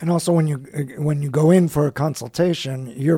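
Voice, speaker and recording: A man with an American accent and a plain, everyday voice, fairly high in pitch, at a fairly quick pace. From United States. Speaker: radio host. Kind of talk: radio talk show.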